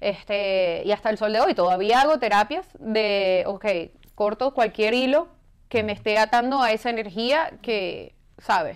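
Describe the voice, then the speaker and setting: A woman speaks in an ordinary speaking voice at fairly high pitch. Her pace is fairly slow and her pitch variation ordinary. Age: 40s. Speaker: fitness professional. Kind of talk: interview.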